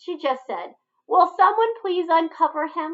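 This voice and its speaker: A woman puts on a squeaky character voice at an extremely high pitch, taking a stern tone at a moderate pace. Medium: read story. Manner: firm, stern.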